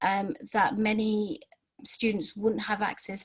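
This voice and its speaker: A woman speaks at a medium pitch, somewhat breathy, with fairly even intonation. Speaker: outreach education provider presenter. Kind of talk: webinar presentation. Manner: fast; hesitant, many fillers and repeats.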